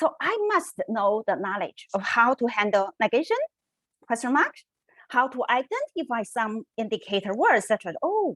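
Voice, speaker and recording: With a Chinese accent, this speaker talks at a fairly slow pace with very wide pitch swings, in a dry, close sound with no echo. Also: woman. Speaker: researcher. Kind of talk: conference presentation. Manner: halting.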